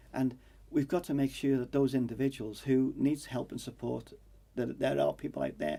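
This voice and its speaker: Speaking fairly quickly with a Manx accent, a man has a medium pitch and a dark, mellow tone. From Isle of Man. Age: 60s. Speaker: election candidate. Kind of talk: political interview. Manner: halting, many fillers.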